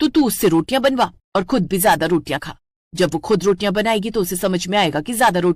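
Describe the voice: Over a quiet background, the speaker does plain reading aloud.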